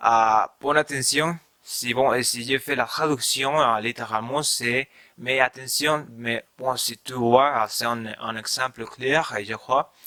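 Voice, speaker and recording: In a Spanish accent, a man talks at a very slow pace and medium pitch with a bright, sharp tone, fairly even intonation and big swings in loudness, in a dry, close sound with no echo. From Mexico. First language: Spanish (speaking French). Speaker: language learner vlogger. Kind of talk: casual vlog talk. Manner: halting, many fillers.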